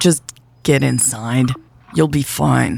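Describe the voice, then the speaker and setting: Putting on a raspy character voice, a man speaks at a medium pitch with very wide pitch swings. His tone sounds tired. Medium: read story. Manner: curt, tired.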